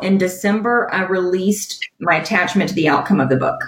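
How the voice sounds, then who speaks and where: A woman with an American accent, medium pitch and a moderate pace, in a plain, everyday voice. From US South, Alabama. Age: 30s. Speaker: executive coach and author. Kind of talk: podcast interview.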